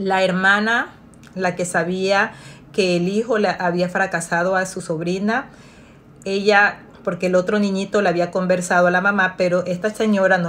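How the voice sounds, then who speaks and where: A woman talks at a moderate pace in a monotone, flat intonation. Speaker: storyteller. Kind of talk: story time, retelling a family drama in a confiding bedtime-story tone. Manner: narrative, steady pace with a storyteller's suspense; conversational, retelling with repetitions and filler. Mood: calm, engaged narration. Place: home room. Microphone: phone near.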